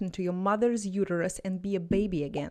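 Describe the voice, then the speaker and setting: A woman with a Russian accent and an animated tone. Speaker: language tutor. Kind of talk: motivational talk to camera.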